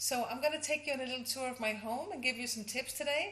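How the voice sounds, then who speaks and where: A woman with a Danish accent, fairly quick and with lively intonation. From Denmark. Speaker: interior designer and house coach. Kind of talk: tutorial. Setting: at home.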